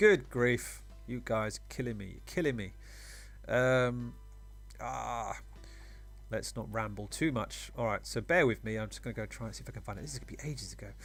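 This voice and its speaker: A man at a moderate pace, with long, frequent pauses, big swings in loudness and music in the background. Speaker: fighting game community podcaster. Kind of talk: casual podcast talk. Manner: rambling.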